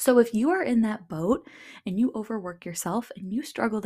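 Recorded very cleanly against a silent background, a woman's somewhat breathy voice has a dark, mellow tone and ordinary pitch variation. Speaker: podcast host and purpose coach. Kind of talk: casual solo monologue. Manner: talkative; laughs often.

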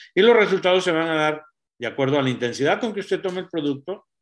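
Using an unremarkable speaking voice, a man holds a fairly high pitch and shows ordinary pitch variation. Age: 60s. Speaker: doctor giving health talk. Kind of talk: health talk.

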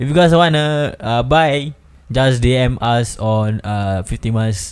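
His pitch is medium and varies in an ordinary way. The man talks very slowly. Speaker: podcast host. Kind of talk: casual chat.

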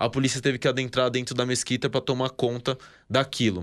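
The recording is very clean, with a silent background. A man speaks at a medium pitch in a monotone, flat intonation. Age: 20s. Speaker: army reservist, former combat soldier. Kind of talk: interview, explanatory talk.

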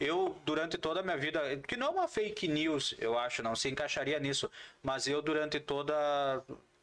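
A man speaks at a moderate pace in a fairly high voice, with ordinary pitch variation and very even loudness. There is noticeable background noise. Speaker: podcast host. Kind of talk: casual chat. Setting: studio. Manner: animated.

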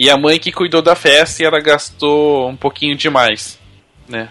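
In an unremarkable speaking voice, a man talks at a moderate pace with fairly even intonation. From Brazil. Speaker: podcast host. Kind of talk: casual chat.

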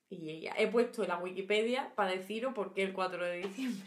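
A woman with an Andalusian accent, at a moderate pace with ordinary pitch variation. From Andalusia, Huelva (Rociana del Condado). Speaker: podcast co-host. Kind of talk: casual chat.

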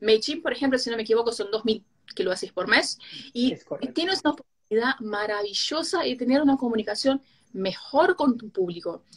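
At a fairly quick pace, a woman speaks in a high pitch with very wide pitch swings. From Brazil, Rio de Janeiro. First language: Portuguese (speaking Spanish). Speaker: digital marketing specialist. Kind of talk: live stream conversation.

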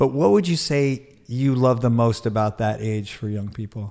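Ordinary pitch variation carries through a man's moderately paced speech. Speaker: podcast host and keynote speaker. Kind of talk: interview. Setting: studio. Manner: animated.

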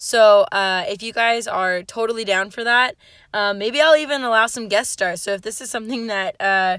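Delivered at a fairly quick pace in an animated tone, the speech sits on a very clean recording with a silent background. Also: woman. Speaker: podcast host. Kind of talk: casual solo monologue. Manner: loud.

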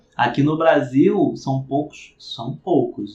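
This is a man's voice. It sounds somewhat breathy. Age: 30s. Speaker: podcast host and business consultant. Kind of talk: casual interview chat.

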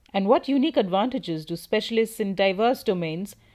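Over a quiet background, a woman talks at a fairly quick pace in a fairly high pitch, her dark, mellow tone paired with lively intonation. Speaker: podcast host. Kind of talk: scripted intro and outro.

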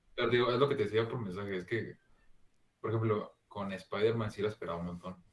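A man talks at a fairly quick pace and fairly low pitch. His intonation stays fairly even. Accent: Mexican. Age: 20s. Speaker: podcast co-host. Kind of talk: casual chat.

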